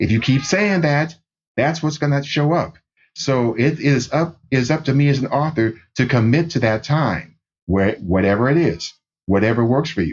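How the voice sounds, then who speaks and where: With lively intonation and very even loudness, a man speaks at a moderate pace in a fairly high pitch and an American accent. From US Midwest, Minneapolis. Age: 60s. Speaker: novelist. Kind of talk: interview. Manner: halting.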